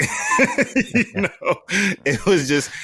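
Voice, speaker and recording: A man speaks with a New York accent. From New York (Bronx). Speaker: wine auctioneer and agency head. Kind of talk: interview answer. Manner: casual.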